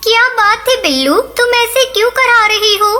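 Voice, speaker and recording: Female-sounding cartoonish character voice, extremely high in pitch, at a moderate pace over clear background music. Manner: gentle, sweet.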